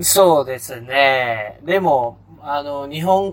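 A man talks very slowly at a fairly high pitch. His intonation is lively, and background noise is noticeable. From Malaysia. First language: Malay (speaking Japanese). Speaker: podcast co-host, engineer. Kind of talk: casual chat.

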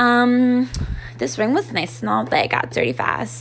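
A woman talks at a moderate pace. Noticeable background noise sits behind her voice. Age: 20s. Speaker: podcast host and YouTuber. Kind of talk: solo monologue podcast. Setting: recorded at night. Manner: casual, with frequent filler ums.

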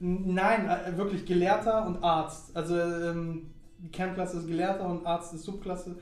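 A man with a high pitch and monotone, flat intonation at a fairly slow pace, with audible room echo and noticeable background noise. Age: 20s. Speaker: podcast host. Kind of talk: casual chat.

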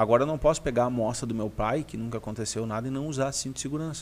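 This man has a normal speaking voice at medium pitch. His pitch variation is ordinary. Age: 30s. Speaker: aesthetics health professional and teacher. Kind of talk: live-stream Q&A chat.

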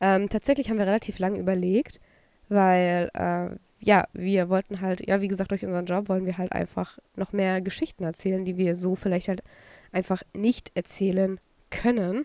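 The voice has a dark, mellow tone and fairly even intonation at a moderate pace, recorded very cleanly with a silent background and a dry, close sound with no echo. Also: woman, medium pitch for a woman. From Saxony, eastern Germany. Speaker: podcast co-host. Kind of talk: casual chat.

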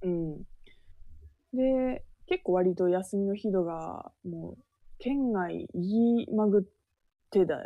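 A woman's medium-pitched voice at a very slow pace, with long, frequent pauses and ordinary pitch variation. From Japan, Shonai region of Yamagata. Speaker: podcast co-host. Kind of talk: casual chat.

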